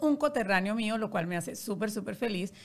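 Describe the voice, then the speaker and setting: A woman speaks at a fairly quick pace. Her pitch variation is ordinary. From Colombia, Barranquilla; Colombia. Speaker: podcast host, publicist; podcast host. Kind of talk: interview conversation. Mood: warm, cheerful. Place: studio. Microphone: studio mic.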